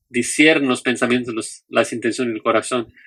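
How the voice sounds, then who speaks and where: A man's medium-pitched voice, bright and sharp in tone, with a non-native accent. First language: not Spanish (speaking Spanish). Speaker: Bible teacher. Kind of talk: lecture. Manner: halting, with fillers and restarts.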